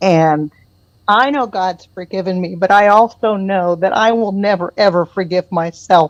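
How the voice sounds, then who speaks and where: Using an ordinary speaking voice, a woman with an American accent talks at a medium pitch and moderate pace with ordinary pitch variation, in a dry, close sound with no echo. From United States. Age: 60s. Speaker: caller. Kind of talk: call-in discussion and personal testimony. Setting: phone call.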